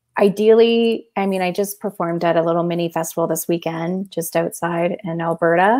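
A woman with a Canadian accent and a plain, everyday voice speaks at a fairly quick pace with hardly any pauses, a fairly low pitch and fairly even intonation against a quiet background. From Canada, London, Ontario; East Indian family; Ontario, Canada. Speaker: spiritual consultant and DJ; DJ. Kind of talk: casual interview. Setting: video call.

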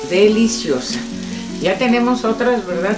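A voice speaks at a fairly slow pace over clear background music. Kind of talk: cooking tutorial. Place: kitchen.

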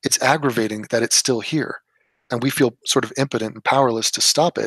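This speaker talks at a fairly quick pace with a Californian accent. The sound is dry and close, with no echo. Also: man. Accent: Californian American English. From US West Coast (Los Angeles). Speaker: political commentator. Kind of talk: casual political discussion. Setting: remote call on live stream.

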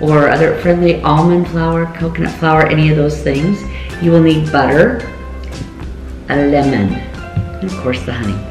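A woman speaks at a moderate pace in a very deep, low-pitched voice. Audible room echo and clear music sit in the background. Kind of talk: cooking tutorial. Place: kitchen. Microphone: camera far.

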